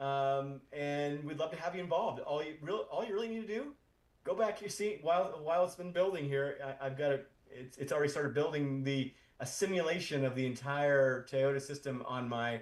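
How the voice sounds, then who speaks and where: Moving at a fairly quick pace, a man speaks at a fairly high pitch with ordinary pitch variation. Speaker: founder of an AI community, tech speaker. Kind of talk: conference talk. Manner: fast; halting, many repetitions.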